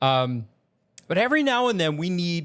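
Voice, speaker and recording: A man talks at a moderate pace in an American accent, captured on a very clean recording with a silent background. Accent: Southern accent comes out in conversation. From Virginia, US South. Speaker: video creator and voiceover learner. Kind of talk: casual vlog talk to camera. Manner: hesitant, with fillers and restarts.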